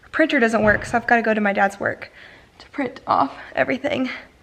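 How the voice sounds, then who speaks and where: A woman speaks at a moderate pace with a fairly high pitch. Her intonation is lively, and there is noticeable background noise. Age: young. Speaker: lifestyle vlogger. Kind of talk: casual vlog talk to camera.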